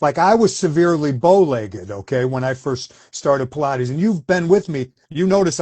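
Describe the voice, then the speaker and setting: With hardly any pauses, a man talks at a fairly quick pace in a fairly high, somewhat breathy voice with lively intonation. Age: 60s. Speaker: former Pilates instructor. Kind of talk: casual interview chat.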